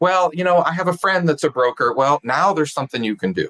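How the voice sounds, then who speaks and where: Recorded with a dry, close sound and no echo, a man with an American accent speaks at a fairly quick pace in a bright, sharp tone. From California. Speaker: sales trainer. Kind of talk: interview conversation.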